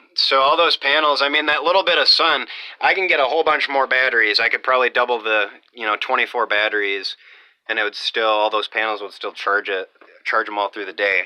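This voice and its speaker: Medium in pitch, a man speaks at a fairly quick pace with lively intonation. The sound is dry and close, with no echo. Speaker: off-grid homesteader vlogger. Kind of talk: casual video walkthrough. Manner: loud; halting, many fillers. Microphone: close to the microphone, loud.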